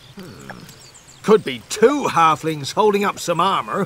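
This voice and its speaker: A man puts on a gruff, high-pitched character voice with very wide pitch swings and a fairly slow pace. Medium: video game. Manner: gruff, mocking.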